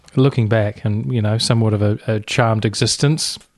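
A man speaks with a New Zealand accent. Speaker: community radio host. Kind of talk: interview.

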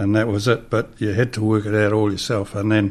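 Speaking with a New Zealand accent, a man uses a fairly low pitch. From New Zealand, Hawke's Bay. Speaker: designer. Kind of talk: interview. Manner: halting.

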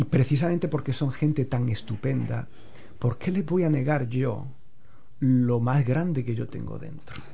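In a room with audible echo, a man speaks at a fairly slow pace in a dark, mellow, somewhat breathy voice of medium pitch with ordinary pitch variation. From Spain, Andalusia (Alpujarra, Granada). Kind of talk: casual interview.

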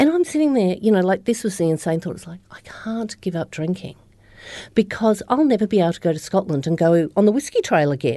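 A woman with an Australian accent and a dark, mellow tone speaks fairly quickly at medium pitch, with very wide pitch swings and big swings in loudness over a quiet background. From Australia, Upper Murray and Melbourne. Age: 50s. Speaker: recovering alcoholic, business owner. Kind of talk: interview testimony.

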